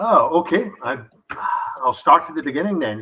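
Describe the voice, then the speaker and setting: With a Scottish accent, the speaker moves along at a moderate pace. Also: man. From Scotland. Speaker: distillery founder. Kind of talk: interview.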